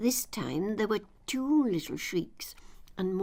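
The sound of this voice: This is an unforced reading voice. It is read aloud plainly.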